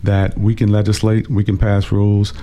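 A man speaks with an American accent in a fairly low pitch. There is noticeable background noise. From Washington, DC. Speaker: city councilmember. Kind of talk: casual interview. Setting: radio studio.

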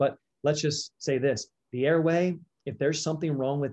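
Against a quiet background, a man with an American accent uses a normal speaking voice. He speaks at a fairly quick pace with fairly even intonation. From Delaware, US. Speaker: dentist. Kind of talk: interview.

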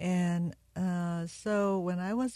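Against a quiet background, a woman with a Korean accent speaks in a fairly low pitch and a dark, mellow tone. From South Korea. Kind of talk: interview testimony. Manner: halting.

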